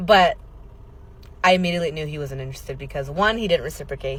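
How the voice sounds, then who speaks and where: A woman talks at a very fast pace in an animated tone with vocal fry. Her pitch varies in an ordinary way, and audible room echo surrounds her. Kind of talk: storytelling vlog.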